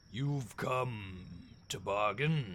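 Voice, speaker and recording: A man booms in a put-on character voice. His voice is raspy and fairly low-pitched. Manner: loud, booming.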